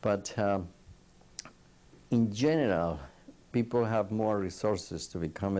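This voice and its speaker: In a non-native accent, a man with a dark, mellow tone talks at a fairly slow pace with ordinary pitch variation. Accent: non-native English, still noticeable. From Colombia. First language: Spanish. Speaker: psychiatrist. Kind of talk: oral history interview. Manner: halting.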